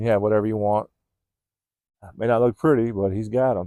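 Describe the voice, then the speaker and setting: With an American accent, the speaker has a dark, mellow tone in a dry, close sound with no echo. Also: man. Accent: California accent picking up a Southern drawl. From California. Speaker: vlogger. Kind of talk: casual monologue. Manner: laid-back.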